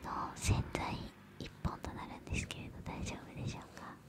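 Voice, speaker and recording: A soft-spoken woman talks at a moderate pace. Loud background noise surrounds her voice. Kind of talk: ASMR role-play talk. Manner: soft, close-mic ASMR murmur. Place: home room. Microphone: studio mic.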